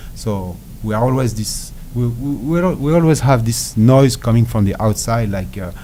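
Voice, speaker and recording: A man with a French accent, medium in pitch and dark and mellow in tone, at a moderate pace with ordinary pitch variation and audible room echo. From France. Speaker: ultra endurance athlete. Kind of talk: interview. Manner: halting.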